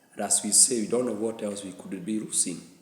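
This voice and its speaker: A man with a fairly low pitch speaks with ordinary pitch variation, with audible room echo around him. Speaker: book reviewer. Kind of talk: book review monologue.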